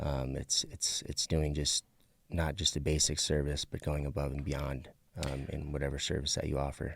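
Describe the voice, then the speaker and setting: In a very deep, low voice with vocal fry, a man speaks at a moderate pace with monotone, flat intonation. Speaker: professional portrait photographer. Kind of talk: casual podcast interview. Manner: halting, many fillers and repeats.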